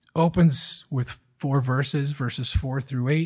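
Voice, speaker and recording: Against a quiet background, a man with an American accent speaks at a fairly slow pace in a fairly high, somewhat breathy voice with fairly even intonation. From Michigan. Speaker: pastor. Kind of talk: sermon.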